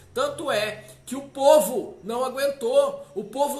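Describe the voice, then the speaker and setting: Audible room echo follows a man speaking in an animated tone at an extremely high pitch. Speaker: pastor. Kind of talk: sermon.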